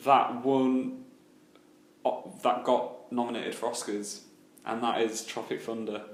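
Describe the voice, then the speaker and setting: Recorded with audible room echo and noticeable background noise, a man in a British accent speaks fairly slowly, with long, frequent pauses. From UK. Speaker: film podcast host. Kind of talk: casual chat. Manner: halting, frequent repetitions.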